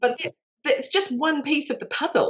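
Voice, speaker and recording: A woman speaks in a New Zealand accent. Her pace is fairly quick. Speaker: life extension advocate and connector. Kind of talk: interview. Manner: animated.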